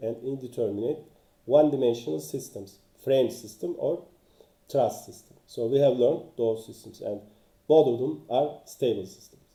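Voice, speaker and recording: A man's medium-pitched voice with a dark, mellow tone, lively intonation, a moderate pace and big swings in loudness. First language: not English. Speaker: engineering author and teacher. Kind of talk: lecture. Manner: halting, many fillers.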